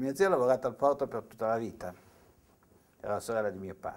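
The background stays quiet. A man rattles along at a very fast pace. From Italy, Savona (Liguria); Liguria, Italy. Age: 60s. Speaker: TV writer and university lecturer; university lecturer. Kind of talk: interview testimony; interview answer. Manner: halting, with repetitions. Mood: reflective, at times animated. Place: studio.

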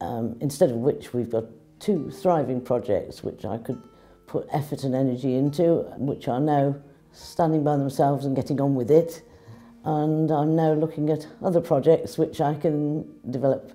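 Faint music plays behind a woman whose pitch is very deep and low, with ordinary variation. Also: moderate pace. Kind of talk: interview answer. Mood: warm, proud. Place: office. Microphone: lapel.

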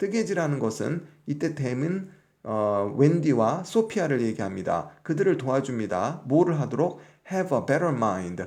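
Audible room echo surrounds a man with a fairly high pitch and vocal fry. He speaks at a fairly slow pace, his pitch swinging very widely. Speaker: English teacher. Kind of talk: lecture.

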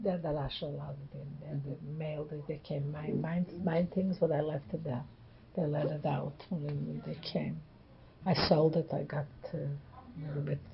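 Amid noticeable background noise, a woman with a very deep, low pitch speaks at a moderate pace with fairly even intonation. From Poland. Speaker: Holocaust-era survivor. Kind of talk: interview answer.

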